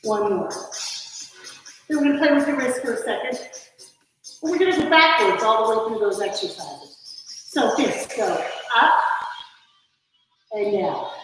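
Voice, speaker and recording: A woman speaks in a high pitch with lively intonation and long, frequent pauses. Audible room echo fills the recording. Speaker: fitness instructor. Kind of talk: live online workout class instruction. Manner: directive counting cues; slow on purpose.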